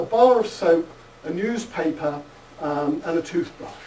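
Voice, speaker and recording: A man speaks at a moderate pace in a high voice with lively intonation over noticeable background noise. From United Kingdom. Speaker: psychology professor. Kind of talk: lecture.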